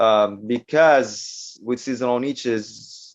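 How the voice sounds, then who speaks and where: A man speaks with a non-native accent. The background is quiet. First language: not English. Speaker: online publishing entrepreneur. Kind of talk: interview. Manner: halting.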